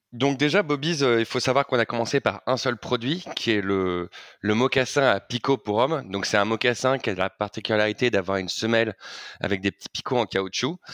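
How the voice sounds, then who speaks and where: This man speaks at a medium pitch and a moderate pace, with ordinary pitch variation. The sound is dry and close with no echo, on a very clean recording with a silent background. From Paris, France. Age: 30s. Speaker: fashion brand co-founder. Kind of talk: interview. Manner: hesitant, many fillers.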